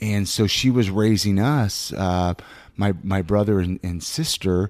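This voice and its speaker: A man with an American accent speaks at a fairly slow pace in a normal speaking voice, fairly low in pitch with ordinary pitch variation. The recording is very clean, with a silent background and a dry, close sound with no echo. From Southern California, Ventura. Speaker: podcast co-host. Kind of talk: casual interview chat.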